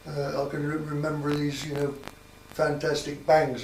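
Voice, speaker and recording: Speaking with a Sussex accent, a man with fairly high pitch keeps a monotone, flat intonation at a moderate pace. Noticeable background noise and audible room echo fill the recording. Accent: rural Sussex English. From southern England, Sussex (Copthorne area). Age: 80s+. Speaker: local elder interviewed about village history. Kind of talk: oral history interview. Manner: halting, with many repetitions.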